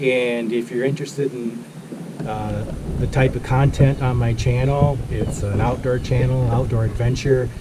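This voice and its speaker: At a moderate pace and with fairly even intonation, the speech carries audible room echo and noticeable background noise. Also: man, medium pitch for a man. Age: 60s. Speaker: outdoor vlogger. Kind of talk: product review. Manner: casual, filler-heavy.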